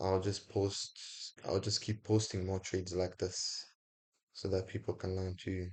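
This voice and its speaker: Speaking at a fairly slow pace, the man has a very deep, low pitch and a somewhat breathy voice. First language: not English. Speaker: forex trader, video creator. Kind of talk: casual sign-off to viewers; screen-recorded trading tutorial. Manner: casual, informal; some halting and self-correcting.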